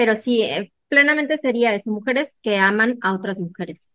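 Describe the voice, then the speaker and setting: A woman speaks at a fairly slow pace in a plain, everyday voice, her pitch fairly high with ordinary variation. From Mexico, Hermosillo, Sonora. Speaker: literature graduate student. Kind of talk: interview.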